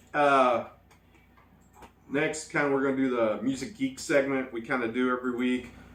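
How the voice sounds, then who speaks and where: A man talks at a medium pitch, his voice carrying audible room echo. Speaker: music news show host. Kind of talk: casual chat. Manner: halting.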